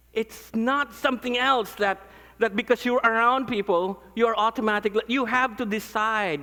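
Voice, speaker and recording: An animated man with a Filipino accent, high in pitch and bright, sharp in tone, his voice raised and projected at a moderate pace. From Philippines. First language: non-English (Philippine language). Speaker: pastor. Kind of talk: conference talk.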